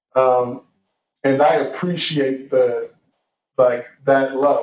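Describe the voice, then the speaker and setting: The speaker is a man. He has an American accent. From US South (Georgia), some years in Nigeria. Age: 30s. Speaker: motivational speaker, former college football player. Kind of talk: personal testimony in interview.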